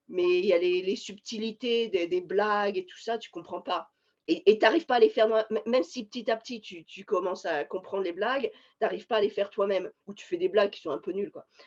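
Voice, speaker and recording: Against a quiet background, a woman speaks fairly quickly at a medium pitch, her loudness swinging widely and her pitch varying in an ordinary way. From France, Paris region. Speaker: scientist. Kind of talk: interview. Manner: halting, many hesitations.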